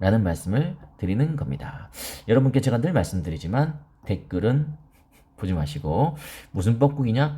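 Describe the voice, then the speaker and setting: Very wide pitch swings mark a man's dark, mellow voice with vocal fry. He keeps a moderate pace but leaves long, frequent pauses. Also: medium pitch for a man. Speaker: crypto investment youtuber. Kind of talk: market commentary. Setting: studio. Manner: subdued, not speaking loudly.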